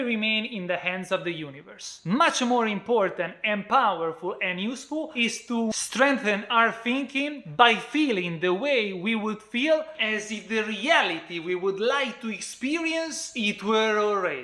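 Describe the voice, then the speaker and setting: Over noticeable background noise, a man with an Italian accent talks in a raised, projected voice with high pitch and lively intonation, at a fairly slow pace with hardly any pauses. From Italy. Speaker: book reviewer. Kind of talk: book review talk to camera.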